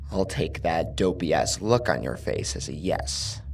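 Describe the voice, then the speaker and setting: A man puts on a character voice that is raspy and very deep, at a moderate pace. Clear background noise sits behind him. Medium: read story. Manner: casual, taunting menace.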